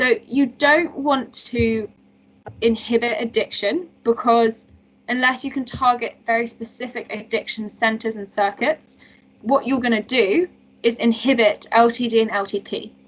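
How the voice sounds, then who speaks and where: This woman has a normal speaking voice, fairly high in pitch, delivered at a moderate pace. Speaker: medical student tutor. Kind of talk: lecture.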